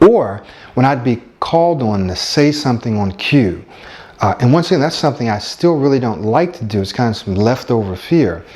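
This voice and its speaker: Against noticeable background noise, a man speaks at a moderate pace and a medium pitch with lively intonation. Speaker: stuttering coach. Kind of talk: personal testimony. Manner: hesitant with fillers.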